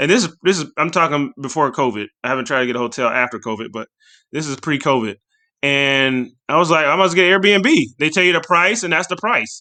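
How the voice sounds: The tone is bright and sharp, with ordinary pitch variation. The pace is fairly quick. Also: man, fairly high pitch for a man.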